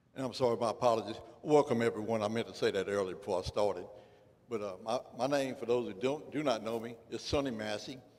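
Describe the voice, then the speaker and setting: At a very fast pace, a man with a Louisiana accent speaks at a medium pitch with ordinary pitch variation. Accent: Louisiana Southern US. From Louisiana, Port Allen. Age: 60s. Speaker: political candidate, law enforcement officer. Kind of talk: candidate forum speech. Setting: community center with audience. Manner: halting, many fillers.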